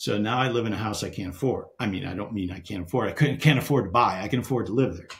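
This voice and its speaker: In a room with audible echo, a somewhat breathy man at medium pitch speaks very fast with hardly any pauses, his loudness swinging widely and his pitch varying in an ordinary way. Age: 60s. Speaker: real estate investor. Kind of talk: podcast interview. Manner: halting.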